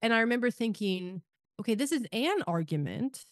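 An unremarkable speaking voice: a woman with an American accent, ordinary pitch variation and a moderate pace. The sound is dry and close with no echo, over a quiet background. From Kansas, rural farm. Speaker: podcast host. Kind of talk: casual chat.

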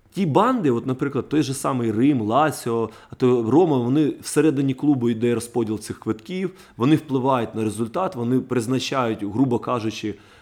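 An animated man speaks at medium pitch with ordinary pitch variation. The recording is very clean, with a silent background. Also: moderate pace. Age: 30s. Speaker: football ultras fan. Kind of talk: heated podcast discussion.

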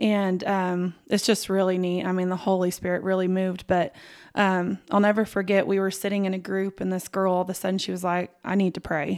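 In a West Texas accent, a woman speaks fairly quickly at a medium pitch with monotone, flat intonation, in a very clean recording with a silent background. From West Texas, Lubbock. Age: 30s. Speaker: home health therapist. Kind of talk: testimony.

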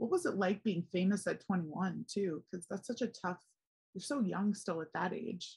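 Somewhat breathy, the voice carries an American accent. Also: woman, medium pitch for a woman, ordinary pitch variation, moderate pace. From Philadelphia, US. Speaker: podcast host. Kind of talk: casual chat. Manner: animated.

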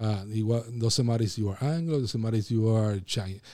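A man with a Puerto Rican accent speaks in a dark, mellow tone with ordinary pitch variation. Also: very clean recording, silent background. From Puerto Rico. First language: Spanish. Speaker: pastor. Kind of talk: casual interview.

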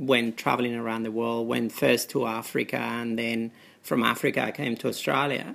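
Using a monotone, flat intonation, a man with a Spanish accent speaks at a moderate pace and medium pitch. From Spain. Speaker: doctor. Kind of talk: interview. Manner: halting.

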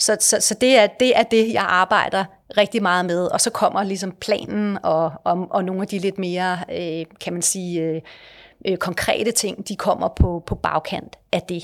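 A woman talks at a fairly slow pace in a normal speaking voice, medium in pitch with fairly even intonation. The recording is very clean, with a silent background. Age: 50s. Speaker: company director. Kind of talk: interview.

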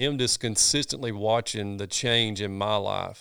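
A man with a Southern US accent and a fairly low-pitched voice. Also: very clean recording, silent background. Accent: Southern US (Georgia). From US South, North Georgia. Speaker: pastor. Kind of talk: casual interview conversation. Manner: animated.

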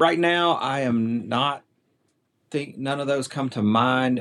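Speaking at a fairly slow pace, a man with a Southern US accent uses ordinary pitch variation. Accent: Southern drawl. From US South, middle Tennessee. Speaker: quail conservation program staff. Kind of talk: casual interview chat. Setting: remote call.

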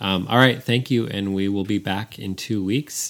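An unremarkable speaking voice, a man's, fairly low-pitched, at a moderate pace with ordinary pitch variation. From San Francisco, US. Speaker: podcast co-host. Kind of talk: casual chat.

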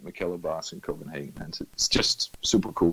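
A moderate pace with a Danish accent. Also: man. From Denmark, Funen (Middelfart). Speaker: running club manager, former teacher. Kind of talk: casual interview. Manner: halting, repeats words.

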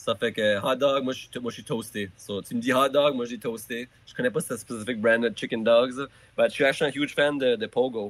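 A man talks at a moderate pace and a medium pitch with fairly even intonation. His loudness swings widely. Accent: New Brunswick Acadian. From Acadia, southeast New Brunswick. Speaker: musician. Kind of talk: casual chat. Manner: halting, repeats words.

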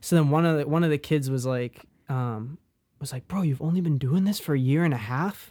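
Speaking at a fairly quick pace, a man uses a fairly high pitch with ordinary variation and a dark, mellow tone. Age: 20s. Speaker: music producer. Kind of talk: casual chat. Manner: loud; fast.

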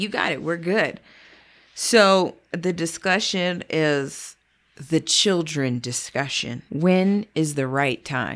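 At a very slow pace, a woman with a fairly low pitch speaks with lively intonation. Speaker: podcast co-host. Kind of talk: casual chat. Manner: subdued.

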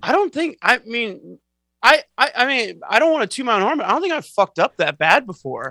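Raised and projected, a man's extremely high voice with an American accent moves at a fairly quick pace through very wide pitch swings, its bright, sharp tone heard in a dry, close sound with no echo. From Northern California (Antioch, East Bay). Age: 30s. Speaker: podcast guest, office worker. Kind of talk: casual chat. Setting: video call.

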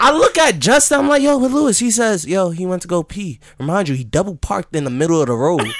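Talking very fast with hardly any pauses, a man uses high pitch and very wide pitch swings over noticeable background noise. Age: 20s. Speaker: podcast co-host. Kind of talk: casual chat. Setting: studio. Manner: animated.

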